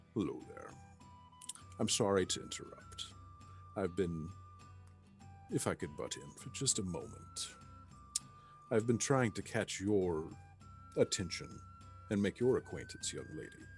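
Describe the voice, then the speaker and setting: A man does a guttural, put-on character voice at a fairly low pitch and moderate pace, with long, frequent pauses. His loudness swings widely, and clear music plays in the background. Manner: polite, interrupting.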